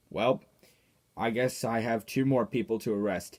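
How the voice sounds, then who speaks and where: In a cartoonish character voice, a man speaks raspy and at a moderate pace with a medium pitch, on a very clean recording with a silent background. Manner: accusing.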